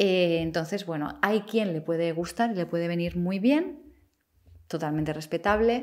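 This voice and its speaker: This woman's voice sits at a fairly low pitch. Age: 30s. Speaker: YouTuber and psychology student. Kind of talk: casual vlog monologue.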